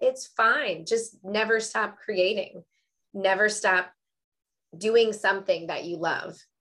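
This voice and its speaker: Very slowly, a woman speaks in a fairly high pitch. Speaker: workshop host. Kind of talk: interview.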